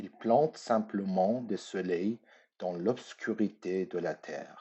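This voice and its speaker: A man with a Persian accent speaks at a very slow pace. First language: Persian (speaking French). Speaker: artist. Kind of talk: recorded lecture. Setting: pre-recorded at home.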